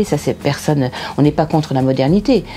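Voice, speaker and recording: Amid noticeable background noise, a woman talks at a fairly quick pace in a very deep, low voice. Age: 60s. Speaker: resident of a housing estate. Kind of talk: interview.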